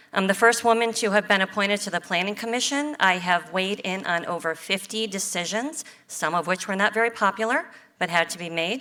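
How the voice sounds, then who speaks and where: A woman's bright, sharp voice with an American accent and ordinary pitch variation. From US Midwest, Ohio. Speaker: city council candidate. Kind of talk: candidate speech.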